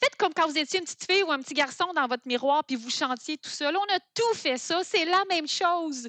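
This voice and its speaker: A woman speaks in an extremely high, raised and projected voice with a bright, sharp tone and lively intonation. She talks at a fairly quick pace with hardly any pauses, and the sound is dry and close with no echo. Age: 40s. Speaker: food entrepreneur. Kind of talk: interview.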